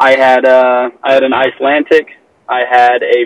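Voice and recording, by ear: A man with an American accent talks at a medium pitch and a fairly slow pace, with little pitch movement. The sound is dry and close, with no echo.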